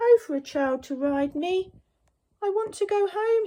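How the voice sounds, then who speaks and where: This is a put-on character voice, extremely high in pitch and squeaky. It moves at a moderate pace. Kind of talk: bedtime story. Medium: read story.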